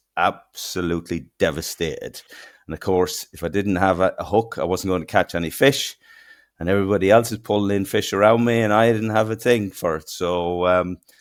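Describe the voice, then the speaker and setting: A man with a strong Irish accent at a moderate pace, on a very clean recording with a silent background. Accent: broad Irish. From southeast Ireland, near Kilmore Quay. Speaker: fishing technology company co-founder. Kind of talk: podcast interview.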